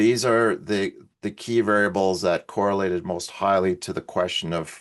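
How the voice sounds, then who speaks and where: This man has a very deep, low-pitched voice. He speaks at a moderate pace. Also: quiet background. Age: 60s. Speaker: researcher presenting on well-being. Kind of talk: conference presentation. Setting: online event. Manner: halting, with fillers.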